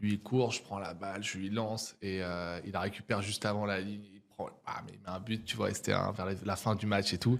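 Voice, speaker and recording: Recorded very cleanly against a silent background, a man with a fairly low pitch talks at a fairly quick pace in a flat monotone. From French provinces. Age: 30s. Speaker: entrepreneur and neuroscience coach. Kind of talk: podcast interview. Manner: casual, many hesitations.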